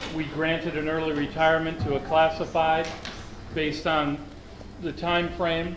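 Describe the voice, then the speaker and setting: With an American accent, a man with a fairly high pitch talks at a moderate pace over noticeable background noise and audible room echo. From Cleveland, Ohio, US. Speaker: school district administrator. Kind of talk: public meeting report.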